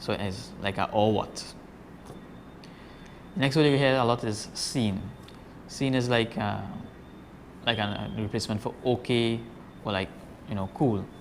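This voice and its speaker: A man speaks with a Trinidadian accent and ordinary pitch variation. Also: medium pitch for a man, fairly slow pace. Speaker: fisherman. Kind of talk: casual talk to camera.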